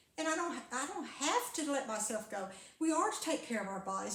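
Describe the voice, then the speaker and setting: The speech moves at a moderate pace with lively intonation. Some room echo is audible. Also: woman. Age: 70s. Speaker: carnivore diet vlogger and former preacher. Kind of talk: casual monologue vlog. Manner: rambling with frequent hesitations and repeats.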